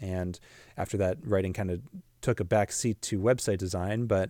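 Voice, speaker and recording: In a Pacific Northwest accent, a man talks with a fairly low pitch and fairly even intonation. The recording is very clean, with a silent background. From US Pacific Northwest (Washington State). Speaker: podcast host, marketing business owner. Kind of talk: solo podcast monologue.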